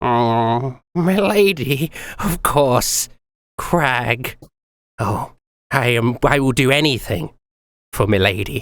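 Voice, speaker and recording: Using a put-on character voice, a man speaks at a medium pitch with lively intonation, a very slow pace and long, frequent pauses. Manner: booming, eager, obedient.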